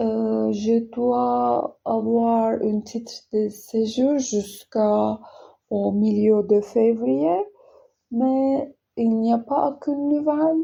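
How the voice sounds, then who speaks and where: A woman with a non-native accent speaks very slowly. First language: not French (speaking French). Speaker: French learner vlogger. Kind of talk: casual vlog monologue. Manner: halting, many hesitations.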